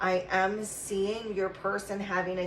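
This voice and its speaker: A woman with an American accent speaks over noticeable background noise, and the room echo is audible. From West Virginia mountains. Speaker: tarot reader. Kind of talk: channeled tarot reading. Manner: halting, many fillers.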